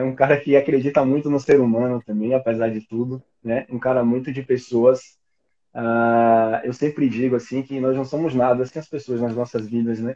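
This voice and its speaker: At a moderate pace, a man with a medium-pitched, dark, mellow voice talks with monotone, flat intonation. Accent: Bahian. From Bahia, Brazil. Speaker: podcaster. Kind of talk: interview answer. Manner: cheerful.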